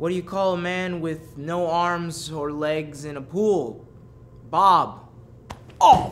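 Over light background noise, a man speaks very slowly at a high pitch with fairly even intonation. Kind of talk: joke telling, comedic reading. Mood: deadpan, playful, laughing at end. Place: studio. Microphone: handheld.

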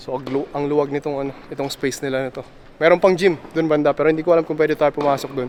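At a very fast pace with hardly any pauses, a man with a fairly high pitch speaks in a monotone, flat intonation while his loudness swings widely. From Philippines, Tumauini area (Isabela). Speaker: vlogger. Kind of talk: casual vlog narration.

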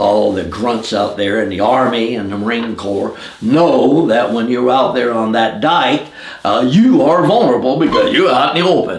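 Noticeable background noise sits behind a man with an American accent. He speaks at a moderate pace with a medium pitch. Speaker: Vietnam War veteran, former Marine rifleman. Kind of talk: veteran interview, recounting war story. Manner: conversational, hesitant, with fillers.

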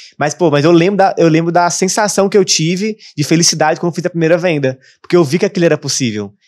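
A high-pitched man at a very fast pace, with ordinary pitch variation over a quiet background. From Brazil, Brasília; Brazil. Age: 20s. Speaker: digital marketing entrepreneur; podcast guest. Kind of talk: casual interview chat. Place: studio. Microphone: studio mic.

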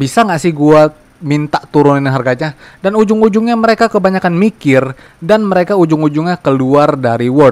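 Fairly quick delivery with lively intonation, very even loudness, and a dry, close sound with no echo. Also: man, fairly high pitch for a man. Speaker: gaming youtuber. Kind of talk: game tutorial commentary.

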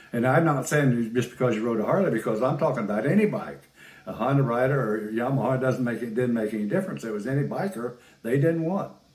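Very fast talk from a man, with audible room echo. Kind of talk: interview answer. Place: home room.

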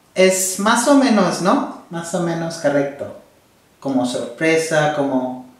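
Speaking at a very slow pace, a man with a high pitch swings his pitch very widely, with audible echo in the room. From India. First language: non-Spanish (Indian language / English) (speaking Spanish). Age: 20s. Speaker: host's husband, Spanish learner; host's husband. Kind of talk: casual chat. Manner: halting, hesitant. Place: home room.

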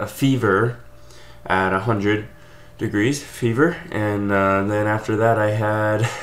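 A man at a very slow pace, fairly low in pitch. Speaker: channel host. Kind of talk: casual vlog chat. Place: home room. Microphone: webcam.

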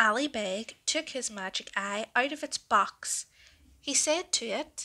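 Speaking at a fairly slow pace, a woman uses a bright, sharp tone with vocal fry, a fairly high pitch, and lively intonation.

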